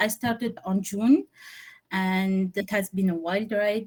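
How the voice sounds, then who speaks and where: Somewhat breathy and medium in pitch, a woman speaks with fairly even intonation in a dry, close sound with no echo. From Tunisia. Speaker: engineering intern. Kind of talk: interview.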